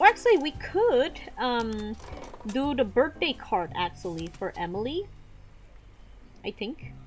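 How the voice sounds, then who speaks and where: Over noticeable background noise, a woman with a high voice speaks in a non-native accent at a fairly slow pace. She leaves long, frequent pauses, and her pitch swings very widely. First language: not English. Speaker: vtuber artist playing a drawing game. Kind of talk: casual let's play commentary. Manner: rambling, hesitant with many fillers.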